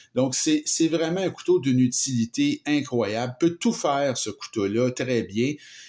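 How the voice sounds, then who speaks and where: Speaking in a Quebec accent, a man with a medium pitch keeps to a fairly slow pace. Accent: Québécois French. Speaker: knife reviewer. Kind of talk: product review. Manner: hesitant, many fillers; casual. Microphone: improved sound with new filming setup.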